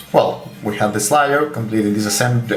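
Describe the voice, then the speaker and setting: A man with a Russian accent talks over noticeable background noise in a room with audible echo. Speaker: gun hobbyist. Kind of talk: tutorial. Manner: halting, many fillers.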